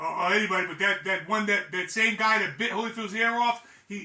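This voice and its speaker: Raising and projecting his voice, a high-pitched man speaks in an animated tone at a moderate pace. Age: 60s. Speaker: boxing commentator, former fighter. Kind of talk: casual commentary monologue. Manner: halting, many repetitions.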